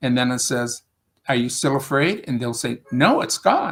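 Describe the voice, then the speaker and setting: A man of medium pitch speaks with a strong upstate New York accent. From US Northeast, Rochester, upstate New York. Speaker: spiritual teacher and English tutor. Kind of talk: casual interview conversation.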